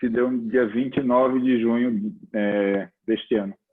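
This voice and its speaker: At a moderate pace, a man talks in a medium pitch. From Recife, Pernambuco, northeastern Brazil. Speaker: judge. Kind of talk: formal presentation. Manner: hesitant fillers.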